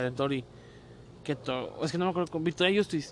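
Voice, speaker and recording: A man's fairly high voice with a Mexican accent. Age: 20s. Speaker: podcast co-host. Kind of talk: casual chat.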